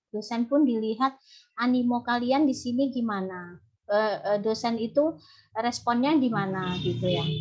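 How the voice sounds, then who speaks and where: A woman speaks with a Javanese accent at a fairly high pitch. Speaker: university lecturer. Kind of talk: online lecture. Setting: video call.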